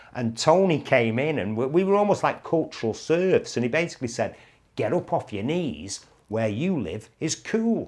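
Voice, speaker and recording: Against a quiet background, a man with a Mancunian accent speaks at a moderate pace in a fairly high pitch with lively intonation. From Manchester, England. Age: 60s. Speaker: broadcaster and YouTube host. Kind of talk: reminiscing monologue.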